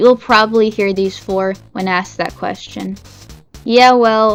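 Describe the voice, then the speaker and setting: With music in the background, a woman talks at a moderate pace and medium pitch, with ordinary pitch variation. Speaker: video essayist. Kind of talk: video essay narration.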